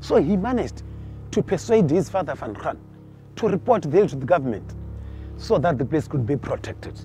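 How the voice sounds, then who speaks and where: Music plays in the background as a man speaks at a fairly high pitch in a passionate tone with very wide pitch swings. His pace is fairly quick, yet he takes long, frequent pauses. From Limpopo, northern South Africa. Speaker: field ranger and cultural tour guide. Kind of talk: guided tour storytelling.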